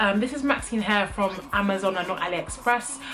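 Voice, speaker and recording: A woman speaks with a British accent over noticeable background noise. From UK. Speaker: beauty vlogger. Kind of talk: product review vlog. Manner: casual, frequent filler ums.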